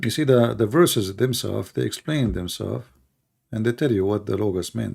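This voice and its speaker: A man talks at a fairly quick pace with lively intonation. His fairly low voice shows vocal fry. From Middle East. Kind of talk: livestream answering chat comments. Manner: argumentative, rebutting.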